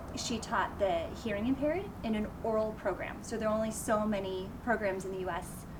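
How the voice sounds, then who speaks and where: A woman with an American accent speaks fairly quickly in a fairly high pitch, with hardly any pauses. Her intonation is fairly even, and noticeable background noise is present. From France (American family, raised abroad). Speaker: high school French teacher. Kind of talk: interview.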